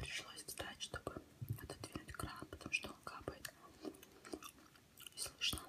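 A woman is whispering at a fairly slow pace. She leaves long, frequent pauses. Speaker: ASMR creator. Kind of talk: casual talk to camera while eating. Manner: whispered, soft-spoken. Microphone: phone near.

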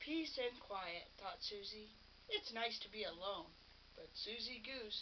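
The recording consists of plain reading aloud.

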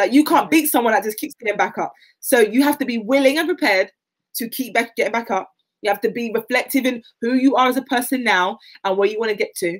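A woman talks very fast in a fairly high, animated voice with ordinary pitch variation. The background is quiet. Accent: South London. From South London (Catford, Lewisham); South London. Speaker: athlete; guest. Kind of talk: interview.

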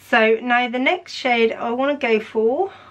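Very slow delivery from a woman with a high-pitched voice. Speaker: makeup youtuber. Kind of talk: makeup tutorial with swatches. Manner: animated. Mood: enthusiastic, impressed. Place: home room.

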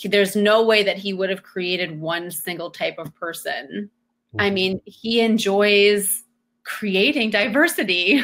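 A woman with an American accent speaks in an unremarkable speaking voice at a medium pitch. Her pace is fairly slow, with ordinary pitch variation. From small US town. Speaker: homeschooling mother. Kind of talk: panel discussion webinar. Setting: video call webinar.

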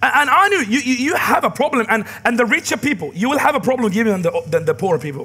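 In a raised, projected voice, a man talks at a very fast pace with an animated tone, an extremely high pitch and very wide pitch swings. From Middle East. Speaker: pastor. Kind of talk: sermon. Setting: church. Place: church.

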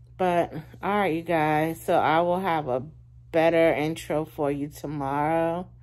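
A woman speaks with a very deep, low pitch. Her tone is relaxed and her intonation fairly even. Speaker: vlogger. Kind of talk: casual vlog chat. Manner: low, relaxed voice lying in bed. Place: home room. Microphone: phone near.

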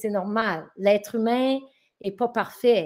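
Against a quiet background, a woman with a fairly high pitch speaks at a very slow pace with ordinary pitch variation. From northern New Brunswick, Acadian. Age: 40s. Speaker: teacher. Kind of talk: interview testimony. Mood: reflective, animated. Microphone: video call.

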